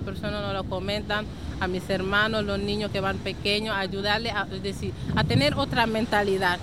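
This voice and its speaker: With fairly even intonation and a moderate pace, a woman speaks in a room with audible echo and noticeable background noise. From Senegal, raised in Spain from age 11. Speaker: association member. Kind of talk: interview. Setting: outdoors at the beach.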